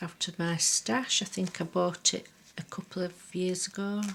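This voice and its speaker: A woman's somewhat breathy voice at a very slow pace. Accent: Lancashire. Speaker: craft journal maker. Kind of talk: show-and-tell tutorial. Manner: chatty, relaxed with fillers.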